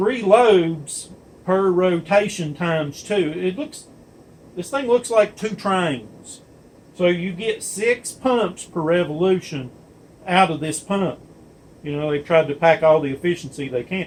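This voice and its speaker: A high-pitched man at a fairly slow pace, with lively intonation. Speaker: diesel pump technician. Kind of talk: workshop demonstration. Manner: casual with fillers; loud.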